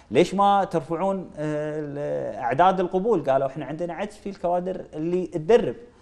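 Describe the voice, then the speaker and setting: A man's pitch varies in an ordinary way. He speaks at a moderate pace. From Kuwait. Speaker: member of parliament; guest. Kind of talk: political interview. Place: studio. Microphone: lapel.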